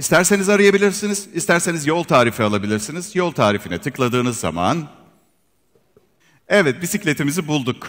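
The voice carries vocal fry and moves at a fairly quick pace. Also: man. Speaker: presenter. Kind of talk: product launch presentation. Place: hall.

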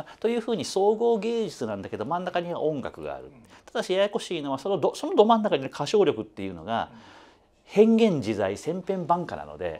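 A man talks at a fairly quick pace with big swings in loudness. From Osaka, Kansai; Japan. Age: 50s. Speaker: music critic; interviewee. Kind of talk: interview. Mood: friendly, animated. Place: studio. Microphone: lapel.

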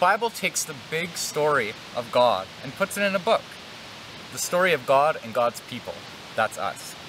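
Music plays in the background. Over it, a man speaks at a moderate pace. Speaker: church educator. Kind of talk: children's devotional talk and prayer. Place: open country.

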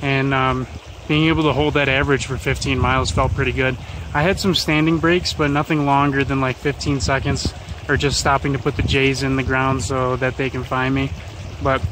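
Recorded dry with no echo over noticeable background noise, a man speaks at a moderate pace, keeping very even loudness and fairly even intonation. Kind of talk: casual vlog chat. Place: open country. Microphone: phone near.

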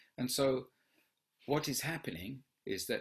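Lively intonation marks a man's very slow speech, with a quiet background behind him. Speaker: movement education teacher. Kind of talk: live online Q&A lecture. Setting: video call. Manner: warm, encouraging. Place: home room.

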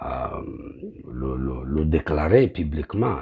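A man's very deep, low, somewhat breathy voice with a dark, mellow tone and an eastern Congolese accent, at a very slow pace against a quiet background. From eastern DR Congo. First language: Kinyamulenge (speaking French). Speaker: pastor. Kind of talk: political address to compatriots. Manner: halting, many hesitations. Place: bathroom. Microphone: phone near.

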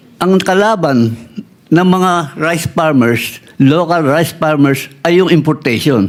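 Over noticeable background noise, a man with a fairly high pitch speaks at a fairly slow pace, with very even loudness and ordinary pitch variation. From Philippines, Nueva Ecija. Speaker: farmer leader and agricultural engineer. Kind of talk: interview. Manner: halting.

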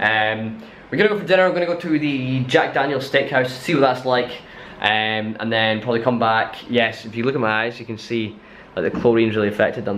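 Light background noise sits behind a man who talks fairly quickly, his pitch varying in an ordinary way. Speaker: vlogger. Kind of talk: casual vlog chat. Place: home room. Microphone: phone near.

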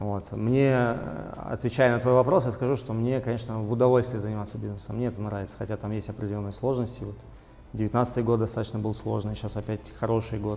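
A man's monotone, flat delivery at a fairly quick pace over faint music in the background. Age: 20s. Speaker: businessman; guest. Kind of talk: interview. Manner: hesitant with fillers. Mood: calm, reflective. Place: studio. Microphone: lapel.

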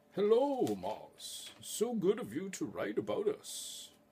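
A man uses a put-on character voice. He delivers it at a fairly slow pace.

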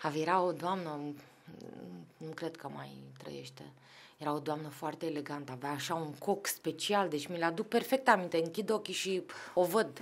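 A woman's fairly low voice at a moderate pace, with long, frequent pauses, big swings in loudness and ordinary pitch variation. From Romania, Craiova then Bucharest; Romania. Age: 40s. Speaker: football club executive; podcast guest. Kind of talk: casual chat. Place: studio. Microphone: studio mic.

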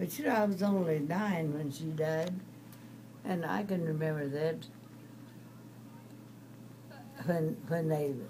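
A woman speaks fairly slowly in a very deep, low pitch, her voice shaky. Her pitch varies an ordinary amount over light background noise. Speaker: storyteller. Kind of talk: interview answer, recollection. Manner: frail, quavering very elderly voice. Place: home room. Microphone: phone near.

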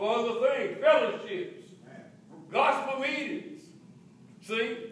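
Moderate pace with audible room echo. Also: man. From Texas. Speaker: preacher. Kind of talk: sermon. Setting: church. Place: church. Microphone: camera far.

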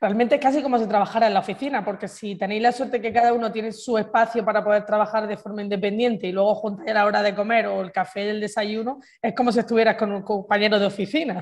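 A woman talks at a very fast pace. She hardly pauses at all. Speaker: podcast host. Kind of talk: casual interview.

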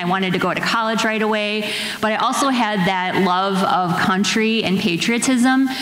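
A woman speaks at a moderate pace with fairly even intonation. Audible room echo is present. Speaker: nurse and veteran. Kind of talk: panel discussion. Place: stage. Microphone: handheld.

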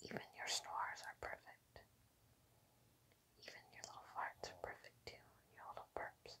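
A woman whispers at a moderate pace with big swings in loudness. She leaves long, frequent pauses. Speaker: ASMR creator. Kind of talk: soothing affirmations to a pet. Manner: soft-spoken. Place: home room.

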